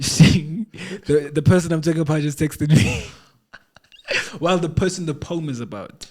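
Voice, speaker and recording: With a Lesotho accent, a man speaks at a moderate pace with ordinary pitch variation and long, frequent pauses. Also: fairly high pitch for a man. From South Africa. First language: Sesotho. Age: 20s. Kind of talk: casual podcast conversation.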